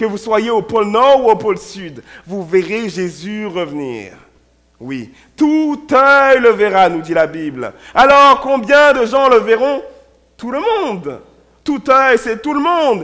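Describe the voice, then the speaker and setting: A man's high-pitched, bright, sharp voice at a very slow pace, with very wide pitch swings and big swings in loudness. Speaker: pastor. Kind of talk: sermon.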